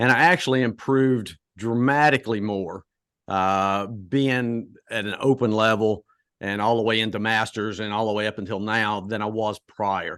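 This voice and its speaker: The background is quiet, and the pace is moderate. The speaker has a slight Southern US accent and fairly even intonation. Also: man, fairly low pitch for a man. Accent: slight Southern twang. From US South (Charlotte, North Carolina). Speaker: track and field coach. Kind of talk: podcast interview. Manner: hesitant, many fillers.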